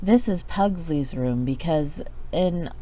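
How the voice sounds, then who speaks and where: A woman's dark, mellow tone at a very slow pace, fairly even in intonation, with audible room echo. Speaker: gaming youtuber. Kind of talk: video game commentary. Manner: casual, halting with fillers.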